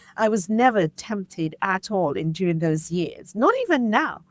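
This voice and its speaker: On a very clean recording with a silent background, a woman with an English accent talks at a medium pitch with lively intonation. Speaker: podcast host, guest here. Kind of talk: interview conversation.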